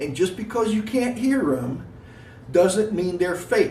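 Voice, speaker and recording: A high-pitched man in an American accent, fairly slow, with audible room echo and noticeable background noise. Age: 60s. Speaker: gym owner and weightlifting vlogger. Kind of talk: casual vlog monologue. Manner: emphatic, lecturing.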